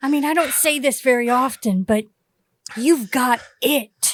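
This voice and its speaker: At a moderate pace, a woman does a put-on character voice. Her pitch sits high. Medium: stage play.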